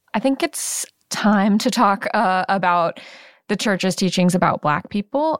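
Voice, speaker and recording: At a moderate pace, a woman with a plain, everyday voice speaks at medium pitch with ordinary pitch variation, in a dry, close sound with no echo on a very clean recording with a silent background. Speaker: producer moderating Q&A. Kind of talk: casual interview chat.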